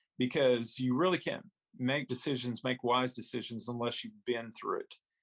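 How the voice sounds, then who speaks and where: Here a man with a medium pitch speaks at a moderate pace. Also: very clean recording, silent background. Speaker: school superintendent and political candidate. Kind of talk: interview. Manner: soft-spoken; halting, repeats words.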